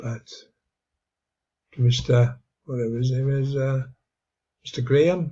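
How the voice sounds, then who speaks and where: With an English accent, a man speaks at a fairly slow pace in a dark, mellow, somewhat breathy tone, leaving long, frequent pauses. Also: medium pitch for a man, fairly even intonation. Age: 70s. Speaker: video blogger. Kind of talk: casual monologue. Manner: halting, many fillers.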